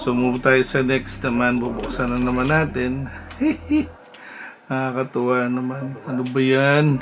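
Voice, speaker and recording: Music plays in the background as a man speaks in a flat monotone. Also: medium pitch for a man, fairly slow pace. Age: 50s. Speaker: hobby card collector. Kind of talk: casual unboxing talk to camera.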